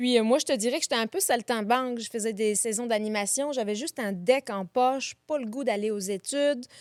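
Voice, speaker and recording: A woman's fairly high voice at a fairly quick pace with hardly any pauses and ordinary pitch variation, in a very clean recording with a silent background and a dry, close sound with no echo. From France, Paris region and Lyon region. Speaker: innkeeper and festival organizer. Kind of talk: interview.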